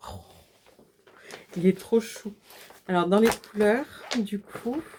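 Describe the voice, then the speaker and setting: Her loudness rises and falls in big swings. The woman talks at a very slow pace. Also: medium pitch for a woman, ordinary pitch variation. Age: 40s. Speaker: cross-stitch vlogger. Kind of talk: casual video chat. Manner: animated.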